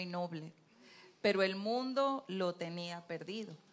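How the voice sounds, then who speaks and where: This woman has a plain, everyday voice at a medium pitch. She talks at a fairly slow pace. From Venezuela, Trujillo (Andes). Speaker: retired university worker, church marriage ministry leader. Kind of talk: testimony. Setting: church pulpit.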